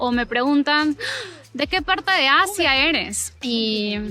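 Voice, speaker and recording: A woman speaks in a raised, projected voice with a high pitch and lively intonation. Her pace is very slow. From Peru, Lima. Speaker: language teacher, YouTuber. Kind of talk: casual chat. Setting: outdoors in a park, walking. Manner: natural native speed.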